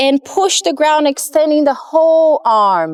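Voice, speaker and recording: Calm in tone and high in pitch, a woman speaks fairly slowly with ordinary pitch variation in a dry, close recording with no echo. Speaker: movement and yoga instructor. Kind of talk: guided movement class instruction. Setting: outdoors with a live group class. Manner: calm, paced cueing with breath counts.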